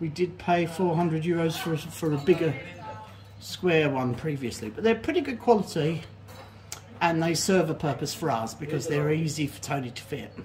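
Speech moves at a moderate pace while noticeable background noise is present. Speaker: home renovation vlogger. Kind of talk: casual vlog chat. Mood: pleased, enthusiastic. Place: bathroom. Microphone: phone near.

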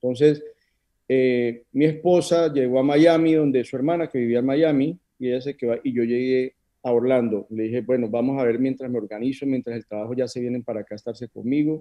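A man talks fairly quickly, his intonation fairly even, with a quiet setting behind him. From Colombia, Neiva (Huila); Colombia. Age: 40s. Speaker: options trader; interview guest. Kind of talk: interview. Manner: halting. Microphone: video call.

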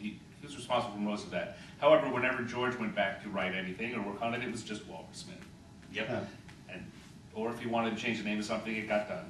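Over light background noise and audible room echo, a man with a medium-pitched voice talks at a very fast pace with fairly even intonation. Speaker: game designer and writer. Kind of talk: panel discussion. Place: meeting room. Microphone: camera far.

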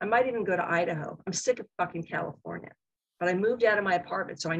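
Quiet surroundings and plain reading aloud

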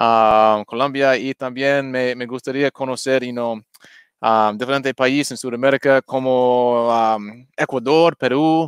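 Speaking very slowly with an English accent, a man keeps his intonation fairly even. His delivery stays unhurried throughout. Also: quiet background, dry sound with no echo. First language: English (speaking Spanish). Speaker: crypto YouTuber. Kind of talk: livestream crypto chat. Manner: halting. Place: home room. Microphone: headset.

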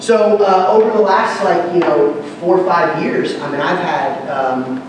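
Strong room echo and noticeable background noise surround a man whose pitch varies in an ordinary way. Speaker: pastor. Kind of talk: conference workshop talk. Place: hall.

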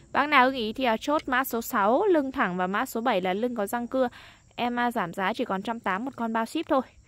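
A woman at a fairly quick pace, fairly high in pitch with ordinary variation, an unremarkable speaking voice, dry sound with no echo. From Lai Châu, northern Vietnam highlands. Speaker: online knife seller. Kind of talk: sales pitch. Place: open country. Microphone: phone near.

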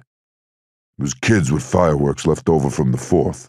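A man uses a put-on character voice at an extremely low pitch, with a slightly husky edge, a slightly mellow tone, ordinary pitch variation and a fairly slow pace.

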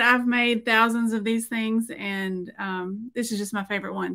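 Bright and sharp in tone, the voice comes at a fairly quick pace in a Southern US accent against a quiet background. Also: woman. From Middle Tennessee. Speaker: painter and former art teacher; former art teacher. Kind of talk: tutorial. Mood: friendly, relaxed. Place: home room.

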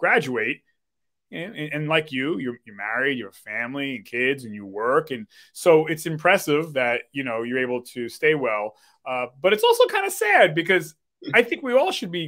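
Against a quiet background, a man with a bright, sharp tone speaks at a moderate pace, his intonation lively and his loudness swinging widely. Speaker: show host. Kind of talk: interview talk. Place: home room.

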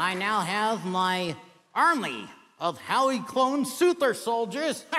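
A man speaks fairly slowly in a high, put-on character voice. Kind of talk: talent show comedy act.

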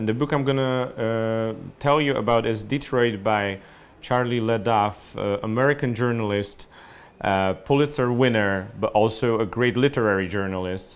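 The pace is moderate throughout. The man's pitch shifts in an ordinary way. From Poland. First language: Polish. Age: 30s. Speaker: journalist and writer. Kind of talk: book recommendation monologue. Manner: hesitant, many fillers. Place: home room.

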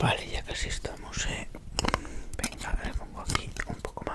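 A soft-spoken man at a moderate pace amid loud background noise. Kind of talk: ASMR role-play. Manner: soft close ASMR murmur. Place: home room. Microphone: headset.

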